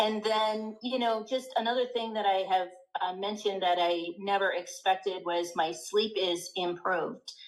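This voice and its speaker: Noticeable background noise sits behind a woman of medium pitch who speaks at a moderate pace with fairly even intonation. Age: 60s. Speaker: weight loss client. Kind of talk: testimonial interview.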